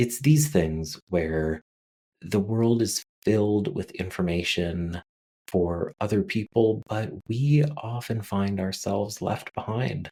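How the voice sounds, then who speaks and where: Soft-spoken and calm, a man talks at a very slow pace in a fairly low pitch with a dark, mellow tone and lively intonation, in dry, close sound with no echo on a very clean recording with a silent background. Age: 30s or older. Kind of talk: calm informal monologue. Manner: slow, calm pace.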